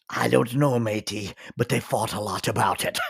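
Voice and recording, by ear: In a put-on character voice, a woman speaks at a moderate pace in a raspy tone with a very deep, low pitch.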